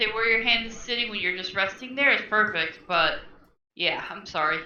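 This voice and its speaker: A woman speaks at a moderate pace in a fairly high, bright and sharp voice, with ordinary pitch variation, big swings in loudness, and audible room echo. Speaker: guest viewer joining a crafting stream. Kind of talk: casual chat.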